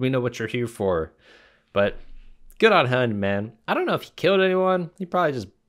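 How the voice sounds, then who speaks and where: An ordinary speaking voice comes at a fairly quick pace. The background is quiet. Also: man. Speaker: reaction streamer. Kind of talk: casual reaction commentary. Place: home room.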